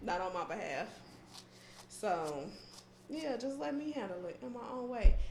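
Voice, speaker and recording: Soft-spoken and with an American accent, a woman talks at a moderate pace with lively intonation, amid noticeable background noise and audible room echo. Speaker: podcast co-host. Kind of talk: casual chat. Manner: calm.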